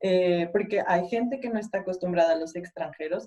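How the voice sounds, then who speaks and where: A woman's medium-pitched voice, dark and mellow in tone, with ordinary pitch variation and a fairly slow pace. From Mexico. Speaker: mechanical engineer. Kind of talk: panel discussion.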